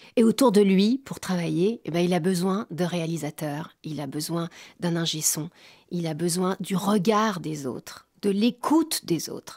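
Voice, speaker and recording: A woman speaks in an ordinary speaking voice at a fairly low pitch, with ordinary pitch variation. Her pace is fairly slow and the sound is dry and close, with no echo. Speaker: voice actor. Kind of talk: interview answer.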